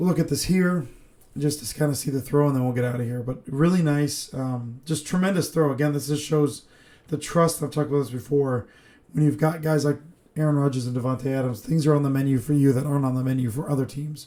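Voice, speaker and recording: A man rattles along at a very fast pace, his tone dark and mellow and his intonation fairly even. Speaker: football film analyst. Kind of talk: casual football breakdown talk.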